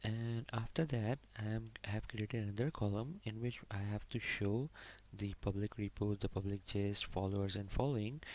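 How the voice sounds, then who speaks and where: With fairly even intonation, a man speaks at a fairly low pitch on a very clean recording with a silent background. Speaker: programming tutorial instructor. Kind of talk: tutorial. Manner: slow.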